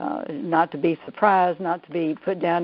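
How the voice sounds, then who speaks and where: A woman speaks in a Southern US accent. Her intonation stays fairly even. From US South, Georgia. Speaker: therapist, EFT trainer. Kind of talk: webinar interview. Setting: online call. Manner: hesitant, many fillers.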